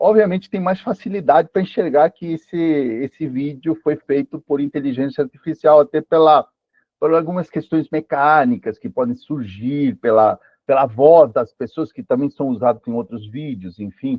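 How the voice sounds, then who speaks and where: His pitch sits fairly high for a man as he delivers his words at a moderate pace. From Peru. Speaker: live presenter on AI. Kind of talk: online lecture. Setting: live stream. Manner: hesitant, many fillers.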